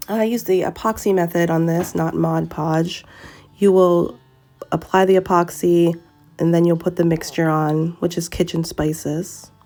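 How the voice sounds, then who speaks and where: Music sits in the background. A woman speaks at a fairly low pitch in a flat monotone. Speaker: tumbler crafter. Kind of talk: tutorial voice-over. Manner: casual, with many filler sounds.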